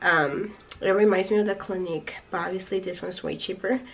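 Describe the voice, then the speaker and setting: Over noticeable background noise, a woman talks at a fairly quick pace with medium pitch and fairly even intonation. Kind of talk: casual talk to camera.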